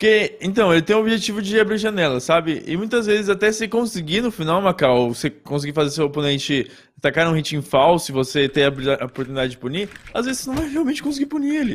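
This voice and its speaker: The speech moves at a very fast pace with very wide pitch swings. The background is quiet. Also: man, high pitch for a man. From Brazil. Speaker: gaming co-host; game coach. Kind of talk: livestream tutorial. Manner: halting. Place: home room.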